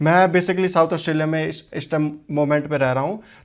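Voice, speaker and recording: A man speaks with a Haryanvi accent at a fairly high pitch and with fairly even intonation. The recording is very clean, with a silent background. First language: Haryanvi (speaking Hindi). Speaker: vlogger. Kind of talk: informational vlog. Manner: halting, many fillers.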